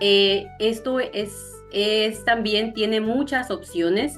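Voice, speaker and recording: A woman with a southern Ecuadorian accent talks over music in the background. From Zamora Chinchipe, southern Ecuador. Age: young. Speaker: content creator. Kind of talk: interview answer.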